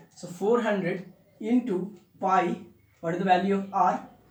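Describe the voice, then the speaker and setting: A man's high-pitched voice with fairly even intonation and audible room echo. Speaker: physics tutor. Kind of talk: tutorial. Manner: fast; halting, many fillers.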